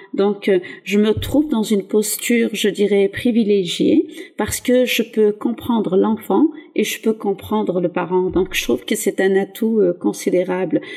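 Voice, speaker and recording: Holding very even loudness, a woman with an ordinary speaking voice talks at a fairly slow pace and medium pitch, her intonation lively. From southeastern France (Var), born in Algeria. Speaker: teacher. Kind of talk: interview.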